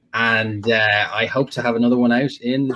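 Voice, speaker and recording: In an Irish accent, the speaker keeps a moderate pace and fairly even intonation. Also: man. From Ireland. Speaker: World War Two fiction author. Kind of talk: casual chat.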